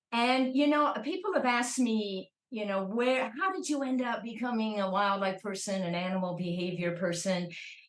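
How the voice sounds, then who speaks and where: Fairly high-pitched speech from a woman with a Chicago accent, lively in intonation with hardly any pauses, amid audible room echo. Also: moderate pace. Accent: American, Chicago. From US Midwest, Chicago. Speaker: professor. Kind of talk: interview.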